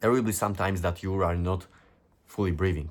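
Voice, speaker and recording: Speaking at a very fast pace, a man with a non-native accent and a very deep, low pitch is heard on a very clean recording with a silent background. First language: not English. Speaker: self-improvement youtuber. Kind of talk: motivational monologue reading from notes. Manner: animated.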